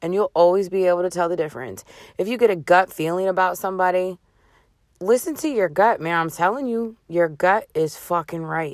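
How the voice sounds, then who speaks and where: The recording is very clean with a silent background. A woman in an ordinary speaking voice talks at a fairly quick pace, medium in pitch with ordinary pitch variation. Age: 30s. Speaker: podcast host, single mother. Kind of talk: casual monologue, motivational rant. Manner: blunt, profane, conversational.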